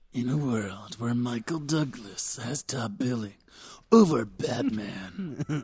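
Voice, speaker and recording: A man puts on a character voice at a medium pitch, speaking at a fairly slow pace with a dramatic tone. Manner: dramatic, epic.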